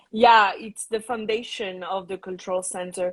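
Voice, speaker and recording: The speaker is a woman with a French accent. She talks at a moderate pace. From Tahiti, French Polynesia. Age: 30s. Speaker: Tahitian dance teacher and cultural center founder. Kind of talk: live interview. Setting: live video stream.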